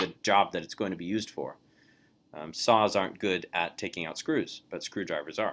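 Quiet speech moves at a moderate pace with ordinary pitch variation. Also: man. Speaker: Bible course teacher. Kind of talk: online lecture. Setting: video call.

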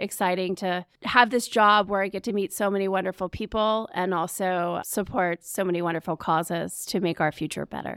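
A woman talks in an ordinary speaking voice at a medium pitch and a moderate pace, with fairly even intonation. The sound is dry and close with no echo, in a very clean recording with a silent background. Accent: American. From Charlotte, North Carolina (US South). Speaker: nonprofit executive director. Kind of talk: interview.

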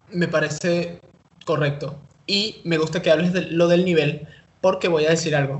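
A man with a Caracas accent speaks at a moderate pace. His pitch is fairly high and his intonation monotone and flat. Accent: Venezuelan Spanish (Caracas). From Venezuela, Caracas. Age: 20s. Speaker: UX/UI designer. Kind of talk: casual interview.

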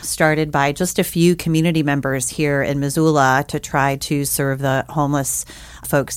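Over noticeable background noise, a woman with an American accent speaks at a moderate pace in a very deep, low pitch with fairly even intonation. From US South, New Orleans, Louisiana. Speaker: homeless shelter staff. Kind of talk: casual interview.

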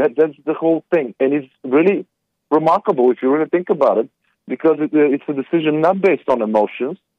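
The speaker is a man with a fairly high voice. He talks with a non-native accent. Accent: foreign. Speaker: caller. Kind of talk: phone-in history explanation. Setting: phone call.

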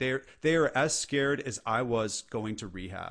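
Here is a man with an American accent and a normal speaking voice, at medium pitch with ordinary pitch variation. He talks at a moderate pace against a quiet background. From California. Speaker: entrepreneur and leadership speaker. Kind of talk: casual interview chat.

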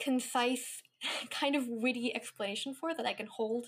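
A woman speaks with a Californian accent. Her pitch is high. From Northern California. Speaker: venture capitalist. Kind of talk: casual chat.

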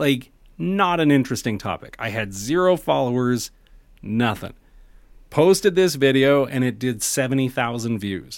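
At a fairly slow pace, a man talks with lively intonation at a medium pitch. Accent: Canadian. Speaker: content creator. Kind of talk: casual chat. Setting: video call. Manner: distinctive measured pacing.

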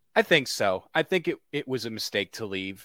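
A man with a plain, everyday voice speaks in an American accent at a moderate pace and medium pitch. The recording is very clean with a silent background, and the sound is dry and close with no echo. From Connecticut, US. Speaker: soccer journalist. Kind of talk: casual interview.

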